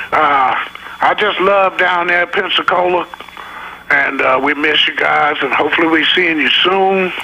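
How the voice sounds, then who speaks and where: Against noticeable background noise, a high-pitched man in a Southern US accent speaks at a moderate pace, with fairly even intonation and very even loudness. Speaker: blues singer-songwriter. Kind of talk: radio interview.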